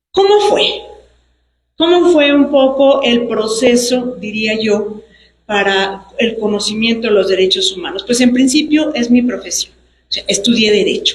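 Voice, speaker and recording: Her high voice has lively intonation and a fairly slow pace. The woman is recorded with audible room echo. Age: 60s. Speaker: human rights defender, lawyer. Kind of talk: public speech at book presentation. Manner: formal.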